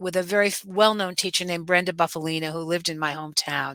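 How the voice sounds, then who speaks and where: A woman with a New York accent speaks at a medium pitch in an animated tone. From New York (Brooklyn, Westchester). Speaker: dance teacher. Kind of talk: interview.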